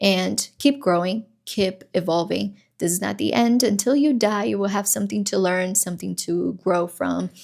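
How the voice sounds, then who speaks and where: The recording is very clean, with a silent background. A woman speaks at a moderate pace. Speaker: self-help vlogger. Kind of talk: casual motivational monologue. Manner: halting, with fillers.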